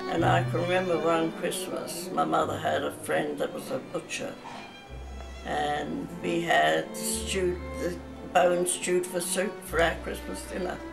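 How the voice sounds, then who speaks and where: A woman at a fairly slow pace, with clear music in the background. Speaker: elderly woman recalling memories. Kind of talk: interview answer. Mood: calm, reflective reminiscing. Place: home room. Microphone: phone near.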